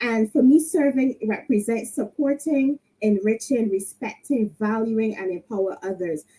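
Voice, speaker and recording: A woman with a Barbadian accent speaks at a moderate pace with hardly any pauses and lively intonation. Her fairly high voice has a dark, mellow tone and is somewhat breathy. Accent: Barbadian (Bajan). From Barbados. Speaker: leadership panelist, entrepreneur. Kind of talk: panel speech. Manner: animated.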